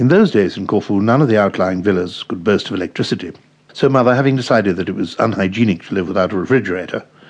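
Someone is reading aloud in a natural voice. The clip is a reading.

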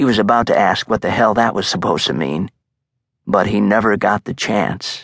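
At a moderate pace, a man talks with a fairly low pitch, vocal fry, ordinary pitch variation and an animated tone, in a dry, close sound with no echo. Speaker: audiobook narrator. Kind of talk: dramatic audiobook narration of a thriller, with tense, vivid, gory action.

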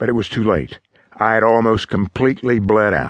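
Delivered at a fairly quick pace, the speech carries a dramatic tone. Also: man. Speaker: audiobook narrator. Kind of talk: audiobook narration of a first-person memoir. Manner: dramatic, suspenseful, measured delivery.

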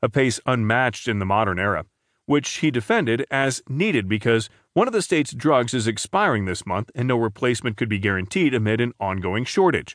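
A man speaks with a plain, everyday voice at medium pitch and lively intonation. The background is quiet. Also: dry, close sound with no echo. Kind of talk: news reading. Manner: formal, steady, neutral newsreader delivery; even-paced and measured.

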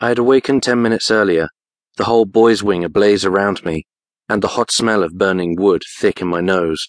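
At a fairly quick pace, a man speaks in a fairly low voice with ordinary pitch variation, the sound dry and close with no echo over a quiet background. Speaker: audiobook narrator. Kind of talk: dramatic first-person audiobook narration of a fantasy thriller. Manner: urgent, breathless, tense, rising with panic and fear; emotionally charged, halting in short clipped bursts.

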